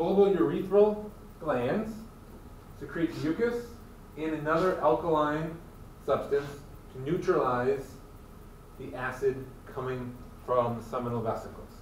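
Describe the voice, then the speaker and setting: In an American accent, a man speaks at a fairly slow pace with long, frequent pauses, lively intonation and big swings in loudness. There is audible room echo and light background noise. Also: fairly high pitch for a man. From Michigan. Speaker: college biology instructor. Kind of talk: lecture. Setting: classroom with students. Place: classroom. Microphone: camera far.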